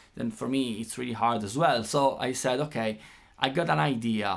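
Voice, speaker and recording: A man with an Italian accent. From Italy. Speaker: guitar teacher. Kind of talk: tutorial. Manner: halting.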